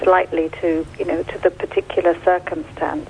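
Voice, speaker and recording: A woman at a moderate pace with lively intonation over noticeable background noise. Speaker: charity director. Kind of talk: radio interview. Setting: phone call. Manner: halting.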